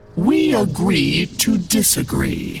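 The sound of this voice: A put-on character voice with vocal fry moves through big pitch swings at a slow pace. Faint music plays in the background.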